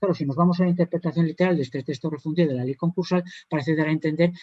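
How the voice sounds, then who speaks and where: A man's fairly high voice in a dry, close sound with no echo. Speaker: judge. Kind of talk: conference panel talk. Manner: fast.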